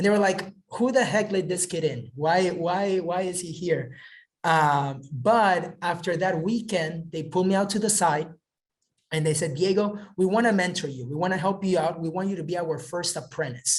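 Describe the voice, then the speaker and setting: At a moderate pace, a man with an American accent speaks at a high pitch with ordinary pitch variation. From Southern California. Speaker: real estate investor. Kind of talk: webinar talk. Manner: animated.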